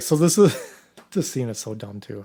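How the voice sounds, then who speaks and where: A man speaks with a Wisconsin accent in a fairly high pitch. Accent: mild Wisconsin. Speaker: podcast co-host. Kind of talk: casual chat. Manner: animated.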